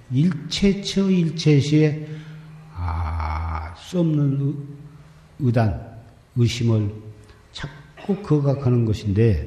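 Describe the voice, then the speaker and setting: It is a man speaking at a medium pitch. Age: 70s. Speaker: Buddhist monk, Seon master. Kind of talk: dharma talk on meditation.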